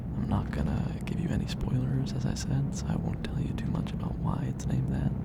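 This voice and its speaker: A man whispers in a calm, relaxed tone. Noticeable background noise runs beneath him. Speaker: ASMR creator. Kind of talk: soft-spoken ASMR tour narration. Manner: soft-spoken.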